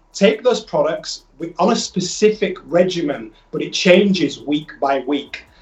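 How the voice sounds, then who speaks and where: A man with a Yorkshire accent, high-pitched, fairly slow, with ordinary pitch variation. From northern England, Leeds. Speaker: health product entrepreneur. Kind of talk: sales pitch. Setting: phone call.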